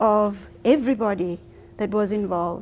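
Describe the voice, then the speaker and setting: This voice belongs to a woman with a South African accent. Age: 40s. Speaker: speaker. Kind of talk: public talk. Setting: library event with audience.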